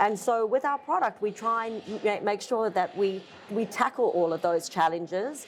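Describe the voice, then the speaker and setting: Music plays in the background as a woman speaks. Her pace is moderate and her intonation lively. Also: medium pitch for a woman. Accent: Australian. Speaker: furniture company owner. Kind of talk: interview. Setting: trade conference.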